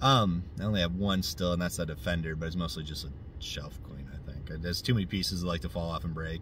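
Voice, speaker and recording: Over light background noise, a man talks at a very fast pace in a somewhat breathy voice, the sound dry with no echo. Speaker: RC car hobbyist reviewer. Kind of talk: casual vlog chat. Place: car. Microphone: phone near.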